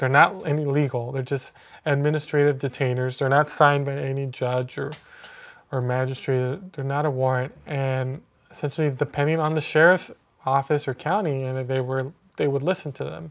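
Here a man with an ordinary speaking voice, fairly high in pitch, speaks at a moderate pace with fairly even intonation. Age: 30s. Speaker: documentary filmmaker. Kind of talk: casual chat.

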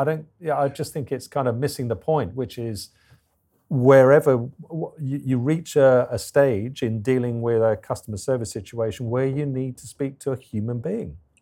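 A man with an English accent speaks at a moderate pace in a medium-pitched, dark, mellow voice with ordinary pitch variation, in a very clean recording with a silent background. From England. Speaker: business consultant. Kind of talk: interview. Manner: hesitant, many fillers.

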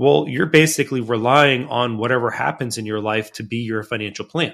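A normal speaking voice belongs to a man talking at a moderate pace and a medium pitch, with ordinary pitch variation. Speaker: financial consultant. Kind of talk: casual chat.

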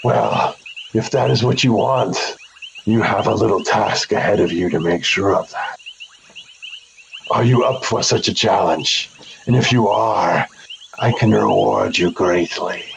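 A man's put-on character voice, medium in pitch, with long, frequent pauses. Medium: actual play. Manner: cryptic, ominous.

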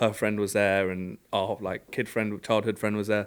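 A man with a London accent, fairly low pitch and monotone, flat intonation, on a very clean recording with a silent background. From London, England. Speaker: car club executive. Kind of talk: casual chat.

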